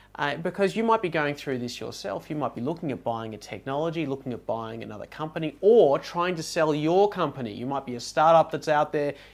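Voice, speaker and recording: Fairly high-pitched and with lively intonation, a man talks at a fairly quick pace with hardly any pauses. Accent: Australian. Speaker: technology due diligence consultant. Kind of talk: casual podcast chat.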